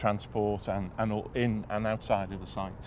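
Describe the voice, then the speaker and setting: Speaking at a fairly slow pace, a man with a Liverpool accent has a fairly low pitch. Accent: Scouse (Liverpool). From Liverpool, England. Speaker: property development project director. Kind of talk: interview.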